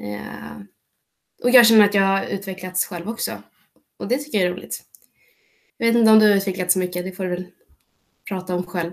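Marked by vocal fry, a woman at medium pitch uses ordinary pitch variation and takes long, frequent pauses. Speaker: club podcast co-host. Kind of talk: casual chat. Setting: video call.

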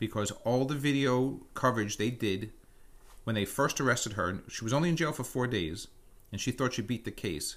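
On a very clean recording with a silent background, a man with an ordinary speaking voice talks at a moderate pace and medium pitch with lively intonation. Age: 50s. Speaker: podcast host. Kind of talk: casual chat.

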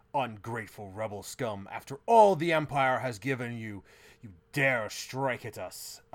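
Growling in a put-on character voice, a man speaks at a moderate pace on a very clean recording with a silent background. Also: medium pitch for a man. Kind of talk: haughty, formal. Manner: snarling, angry, imperious.

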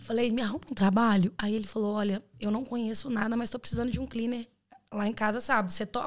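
This woman has an unremarkable speaking voice, fairly high in pitch, with fairly even intonation. She moves at a fairly quick pace, and her loudness swings widely. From Brazil, Belo Horizonte (Minas Gerais). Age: 20s. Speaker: exchange student. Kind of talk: casual chat.

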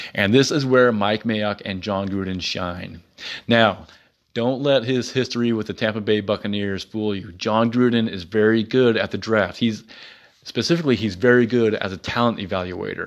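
A man with an American accent has an unremarkable speaking voice, fairly low in pitch. He talks at a moderate pace with ordinary pitch variation. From United States. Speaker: sports podcast host. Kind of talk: solo podcast monologue. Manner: casual with frequent fillers.

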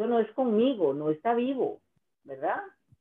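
With lively intonation at a moderate pace, a woman talks in an ordinary speaking voice. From Costa Rica, Guanacaste. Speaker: singer-songwriter. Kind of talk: interview.

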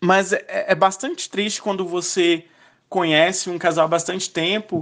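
Intonation is fairly even against a quiet background. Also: man. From Goiás, Brazil. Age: 20s. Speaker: journalist. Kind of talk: recorded testimony.

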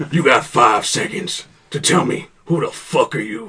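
With lively intonation, a man puts on a character voice at a fairly high pitch and a moderate pace. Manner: suspicious, menacing.

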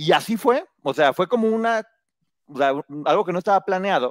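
Man's voice, dry and close with no echo. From Mexico, provincial state. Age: 40s. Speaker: book reviewer and entertainment commentator. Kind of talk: casual chat.

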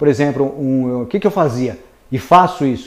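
A man talks at a moderate pace with a normal speaking voice. His intonation is lively. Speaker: civil engineer and marketing trainer. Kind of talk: webinar lecture. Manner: conversational, filler-heavy.

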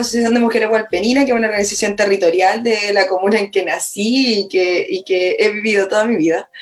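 A woman talks at a very fast pace in a fairly high pitch, with ordinary pitch variation. Background noise is noticeable. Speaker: lawyer, constitutional convention candidate. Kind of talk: political interview. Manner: halting, repeats words.

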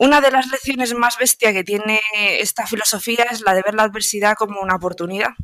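A normal speaking voice from a woman, fairly high-pitched and fairly quick, with fairly even intonation and hardly any pauses. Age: 20s. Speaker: stoicism content creator. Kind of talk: interview.

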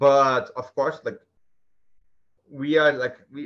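With a Brazilian accent, a man talks at a very slow pace in a medium pitch. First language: Portuguese. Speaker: guest. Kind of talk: casual interview conversation. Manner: halting, hesitant with fillers.

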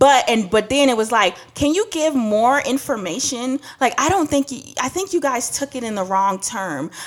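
A woman at high pitch and moderate pace, her pitch swinging very widely. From Trinidad, raised in New York/New Jersey and Atlanta. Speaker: podcast co-host. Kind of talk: casual chat.

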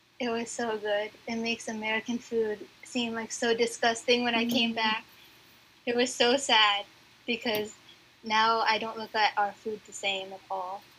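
Soft-spoken and monotone, a woman talks at a moderate pace with a bright, sharp tone. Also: fairly high pitch for a woman. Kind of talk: casual interview. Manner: shy, soft-spoken.

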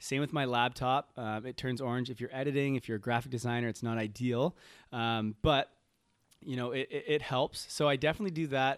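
In an ordinary speaking voice, a man with a Canadian accent talks at a fairly quick pace and medium pitch, with fairly even intonation. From Canada, Toronto. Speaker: health coach. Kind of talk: podcast interview. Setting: remote call.

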